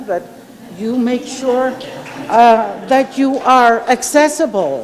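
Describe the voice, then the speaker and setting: A woman speaks over noticeable background noise. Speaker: professor, keynote speaker. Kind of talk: academic Q&A answers. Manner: hesitant, many fillers and restarts.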